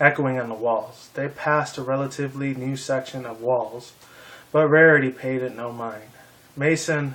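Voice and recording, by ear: Fairly even intonation, reading aloud in a natural voice.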